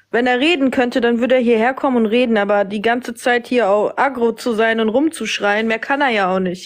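A woman talks at a fairly quick pace with hardly any pauses, using a normal speaking voice. Her pitch is fairly high and varies in an ordinary way. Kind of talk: heated debate. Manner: insistent.

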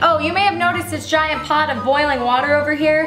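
A woman speaks at a high pitch. Clear music plays in the background. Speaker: cooking show host. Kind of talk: comedic cooking show talk. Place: kitchen.

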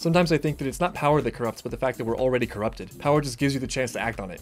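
Faint music plays in the background while a man speaks with ordinary pitch variation. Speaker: reaction video host. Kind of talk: reaction commentary. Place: home room.

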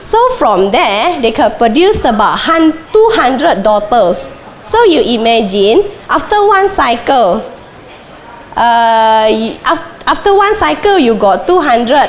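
Speaking at a very slow pace, a woman with a high pitch makes very wide pitch swings over noticeable background noise. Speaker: plant disease researcher. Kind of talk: conference talk. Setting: stage with audience. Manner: halting, many fillers.

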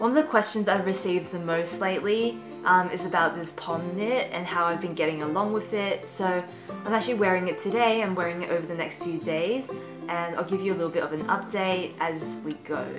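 Clear music plays in the background as a woman speaks at a fairly quick pace with ordinary pitch variation. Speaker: style vlogger. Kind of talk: casual vlog chat. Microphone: camera far.

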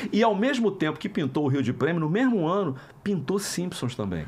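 Here a man speaks with a high pitch. His voice moves through very wide pitch swings. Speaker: voice actor. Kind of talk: interview answer. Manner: casual, anecdotal. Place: studio. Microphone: studio mic.

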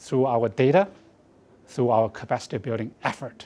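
Here a man speaks with a Chinese accent. His pace is moderate. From China. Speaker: research institute director. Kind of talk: campaign support statement. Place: studio.

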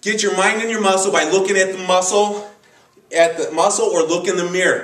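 A man's high voice with audible room echo. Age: 40s. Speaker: bodybuilding coach. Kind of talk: tutorial. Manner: animated. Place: gym. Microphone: camera far.

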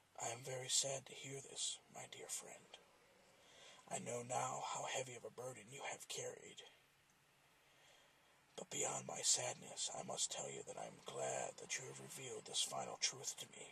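Quiet and raspy, a man uses a put-on character voice at a moderate pace, with long, frequent pauses and light background noise. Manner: quiet, grave, tender yet ominous.

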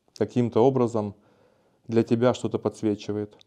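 Over a quiet background, a man speaks at a fairly slow pace and medium pitch. His dark, mellow tone is calm and relaxed. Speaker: video blogger on spirituality and self-development; video blogger on spirituality. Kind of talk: casual monologue answering viewer comments. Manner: calm, relaxed. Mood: calm, warm, relaxed. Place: studio. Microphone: lapel.

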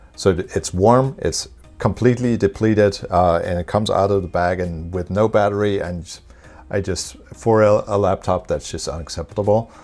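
Faint music plays in the background as a man speaks at a moderate pace. His pitch is fairly low, with ordinary pitch variation. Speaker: tech reviewer. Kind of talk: casual vlog chat. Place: home room. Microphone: lapel.

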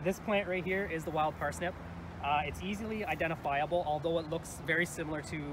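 A man talks very fast in a dry, echo-free sound while noticeable noise runs in the background. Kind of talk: informational safety talk. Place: open country.

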